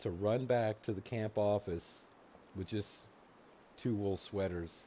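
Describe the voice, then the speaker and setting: A man's fairly low, dark, mellow voice with fairly even intonation, at a very slow pace. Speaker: video game streamer. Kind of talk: gameplay commentary. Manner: soft-spoken; hesitant, many fillers.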